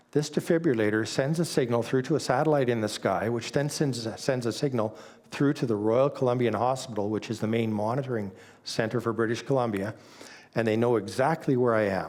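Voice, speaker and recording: Here is a man with an ordinary speaking voice at medium pitch. He talks at a fairly quick pace with ordinary pitch variation and very even loudness. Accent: Canadian. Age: 60s. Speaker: church speaker sharing testimony. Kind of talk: testimony.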